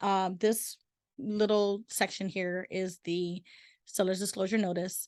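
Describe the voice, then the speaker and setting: Against a quiet background, a woman at medium pitch talks at a fairly slow pace in an unremarkable speaking voice, with a dry, close sound and no echo. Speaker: real estate agent. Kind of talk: webinar presentation. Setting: recorded virtual seminar.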